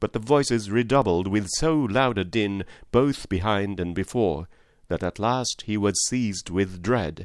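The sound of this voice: The pitch moves in an ordinary way. The speaker reads in an unforced voice.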